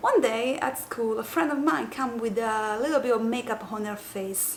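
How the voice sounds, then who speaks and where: A woman with an Italian accent at a fairly slow pace, fairly high in pitch with ordinary variation, amid noticeable background noise and audible room echo. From southern Italy, Apulia. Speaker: makeup youtuber. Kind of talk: tutorial. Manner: halting.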